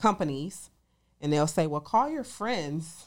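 A woman speaks with an American accent and a very deep, low pitch. The recording is very clean with a silent background. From Detroit, Michigan. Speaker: commercial real estate broker and attorney. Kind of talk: casual interview.

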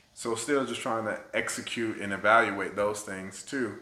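There is noticeable background noise and audible room echo. A man talks at a moderate pace with ordinary pitch variation. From Tallahassee, Florida (born US Virgin Islands). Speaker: theater artistic director. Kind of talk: interview conversation.

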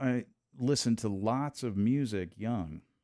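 Lively in intonation yet fairly slow in pace, a man speaks with a dark, mellow tone. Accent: American. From Texas. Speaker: jazz drummer and church music director. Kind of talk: casual interview chat.

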